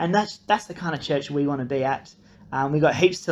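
Talking at a fairly quick pace, a man with a fairly high pitch speaks with an Australian accent. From Australia (grew up partly in Nepal). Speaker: incoming church pastor. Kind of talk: recorded video introduction.

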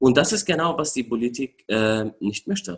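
Speaking with an Arabic accent, a man takes a fairly slow pace at medium pitch, his voice swinging very widely up and down. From Syria. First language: Arabic (speaking German). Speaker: refugee rights activist. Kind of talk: interview. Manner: hesitant, many filler sounds.

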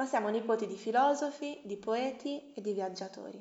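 With an ordinary speaking voice, a woman talks at a moderate pace in a fairly high pitch with ordinary variation. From Bologna, Italy. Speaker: guest. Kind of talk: casual interview chat.

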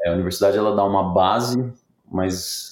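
In an unremarkable speaking voice, a man talks at a moderate pace with fairly even intonation and a fairly low pitch. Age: 40s. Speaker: tech company CEO. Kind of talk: interview.

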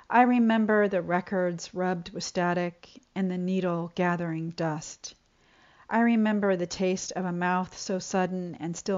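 In an unremarkable speaking voice, a woman at a medium pitch talks at a fairly slow pace with fairly even intonation. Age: 50s. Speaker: poet. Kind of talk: poetry reading.

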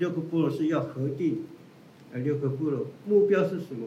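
There is audible room echo around a man's voice. He has a fairly high pitch and ordinary pitch variation. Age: 60s. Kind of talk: interview. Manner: halting, many fillers.

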